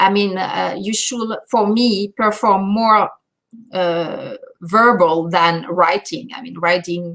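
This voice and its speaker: At a very slow pace, a voice in a French accent shows ordinary pitch variation and big swings in loudness. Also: woman, medium pitch for a woman. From France. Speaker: language teacher and speaking coach. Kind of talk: webinar Q&A. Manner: halting, many fillers.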